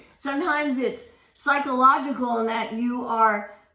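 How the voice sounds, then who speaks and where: Audible room echo surrounds a woman with a high pitch and a bright, sharp tone who speaks at a fairly slow pace with fairly even intonation. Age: 60s. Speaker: fitness instructor. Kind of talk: tutorial. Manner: casual.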